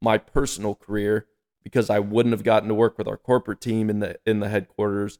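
A man speaks at a medium pitch in an unremarkable speaking voice. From North Carolina. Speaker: manufacturing sales manager. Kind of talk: casual chat.

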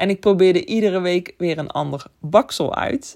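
Her intonation lively, a woman speaks at a moderate pace in a medium pitch. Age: 30s. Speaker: photographer and podcast host. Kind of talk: solo podcast monologue. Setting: home bedroom. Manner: occasionally stumbling over words.

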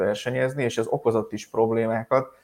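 This man has a normal speaking voice at medium pitch and a moderate pace. The recording is very clean, with a silent background. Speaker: motorsport news podcast host. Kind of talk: casual news roundup chat.

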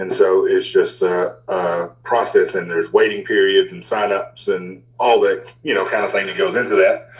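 A man speaks over noticeable background noise. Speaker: podcast guest. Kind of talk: casual chat. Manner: filler-heavy, casual.

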